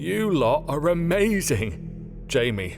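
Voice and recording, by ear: Over clear background music, a man uses a put-on character voice with vocal fry, fairly high pitch and big pitch swings, speaking slowly.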